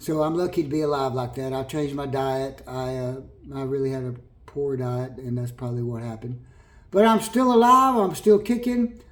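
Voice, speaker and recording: Against audible room echo, a medium-pitched man with an American accent talks at a moderate pace with lively intonation. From California. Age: 60s. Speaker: vlogger. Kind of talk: personal testimony to camera. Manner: halting, with repetitions.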